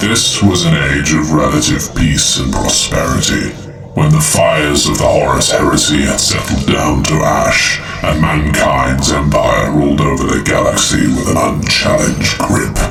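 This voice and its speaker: Loud background noise accompanies a man who speaks at a moderate speed. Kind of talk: grim epic audiobook narration. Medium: read story. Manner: solemn, measured, brooding.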